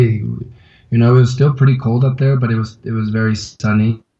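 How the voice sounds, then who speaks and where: The voice is somewhat breathy. It has an American accent. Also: man. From Colorado. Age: 30s. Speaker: climber and backcountry skier. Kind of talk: interview testimony. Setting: video call from a yoga studio. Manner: halting, many fillers. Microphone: unstable internet connection; inside a fort of yoga mats against echo.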